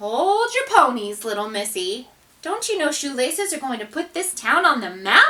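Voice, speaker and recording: Using a put-on character voice, a woman speaks at a high pitch and a moderate pace, her pitch swinging very widely. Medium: read story. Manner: folksy, patronizing.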